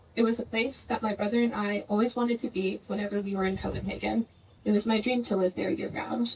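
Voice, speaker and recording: A soft-spoken woman at a very fast pace, fairly high in pitch with fairly even intonation, over noticeable background noise. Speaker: grandchild giving eulogy. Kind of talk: memorial tribute speech.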